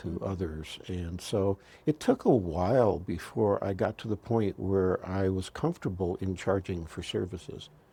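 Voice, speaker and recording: Very deep and low, a man's voice carries a dark, mellow tone and is somewhat breathy. He speaks with hardly any pauses. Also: ordinary pitch variation, moderate pace. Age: 70s. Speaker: astrologer and healer. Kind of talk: interview conversation.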